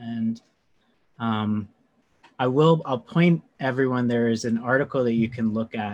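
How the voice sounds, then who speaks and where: This man talks at a fairly slow pace with long, frequent pauses, his medium-pitched voice showing ordinary pitch variation. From North Carolina. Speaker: meditation and astrology teacher. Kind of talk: casual interview chat. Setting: video call.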